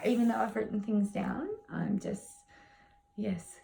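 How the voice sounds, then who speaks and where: Clear background noise surrounds a woman talking at a moderate speed. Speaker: tarot reader. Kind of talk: tutorial. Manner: casual, hesitant with fillers.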